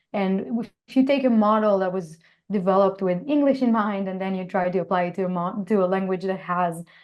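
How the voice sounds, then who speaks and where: A woman's medium-pitched voice with ordinary pitch variation and an Israeli accent. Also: fairly quick pace. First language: Hebrew. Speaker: computer science professor. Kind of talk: interview. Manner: hesitant, many fillers.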